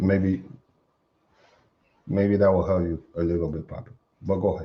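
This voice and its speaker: In an American accent, the speaker sounds animated and somewhat breathy at a moderate pace. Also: man, very deep, low pitch for a man. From United States. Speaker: attorney and commentator. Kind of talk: live stream commentary on clips. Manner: casual, animated.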